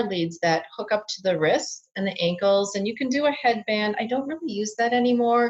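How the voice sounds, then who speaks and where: Lively intonation at a moderate pace. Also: woman. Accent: American. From Minnesota, US Midwest. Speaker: biofeedback practitioner. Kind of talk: interview.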